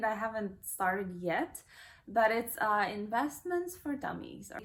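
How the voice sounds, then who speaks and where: A somewhat breathy, fairly high voice belongs to the woman speaking. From Kazakhstan, Almaty. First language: Kazakh and Russian. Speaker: lifestyle vlogger. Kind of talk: casual Q&A vlog. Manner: casual, with fillers.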